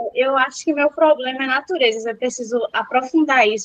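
A woman speaks with a high pitch at a fairly quick pace. Her intonation is fairly even. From Recife, Brazil. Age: young. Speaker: university entrance exam student. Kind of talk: casual chat.

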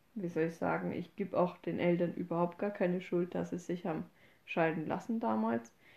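Using vocal fry and lively intonation, a woman with a fairly low pitch speaks at a moderate pace. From Upper Franconia, Bavaria. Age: 20s. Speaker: podcast host. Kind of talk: casual chat.

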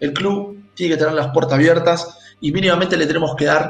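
A man talks at a fairly quick pace in a normal speaking voice. His pitch is fairly high and his intonation fairly even. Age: 40s. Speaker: football club presidential candidate. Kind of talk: interview.

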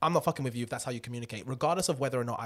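Somewhat breathy and lively in intonation, a man of medium pitch speaks in a very clean recording with a silent background. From south London, England. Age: 20s. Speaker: podcast co-host. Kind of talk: casual chat.

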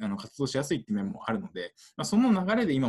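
A man's very fast, vocal-fry voice with very wide pitch swings. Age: 20s. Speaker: international aid worker. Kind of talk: interview. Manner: halting, many fillers.

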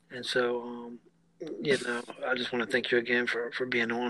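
A man speaks against noticeable background noise. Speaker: podcast host. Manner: warm, supportive.

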